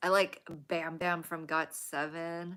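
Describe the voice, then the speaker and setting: With an American accent, a woman speaks at a very slow pace in a fairly low pitch and a bright, sharp tone, in a very clean recording with a silent background. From US Pacific Northwest. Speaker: livestreamer. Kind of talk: casual livestream chat. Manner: stutters when excited; casual with many fillers.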